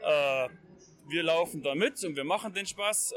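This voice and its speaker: A man speaks in a raised, projected voice with ordinary pitch variation. Noticeable background noise sits behind him. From Bavaria. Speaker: hunting magazine editor. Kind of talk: casual discussion. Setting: trade fair.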